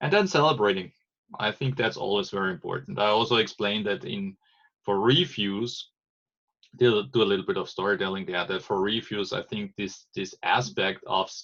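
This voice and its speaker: Talking at a moderate pace, a man speaks with a German accent. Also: fairly low pitch for a man, ordinary pitch variation. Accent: non-native English, German-accented. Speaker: agile trainer. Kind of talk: explanatory monologue. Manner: halting, many false starts.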